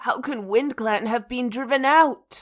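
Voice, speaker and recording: A female-sounding put-on character voice, croaky and hoarse, speaks fairly slowly at a high pitch. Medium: audio drama.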